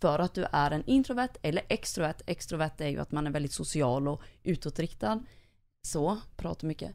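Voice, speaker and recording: Her voice is very deep and low for a woman. She speaks at a moderate pace with lively intonation. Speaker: podcast co-host. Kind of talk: casual interview.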